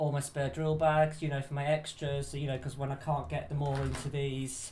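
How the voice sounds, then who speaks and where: Somewhat breathy, a man talks at a fairly quick pace with a fairly high pitch and a monotone, flat intonation. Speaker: crafting YouTuber. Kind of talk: product overview video.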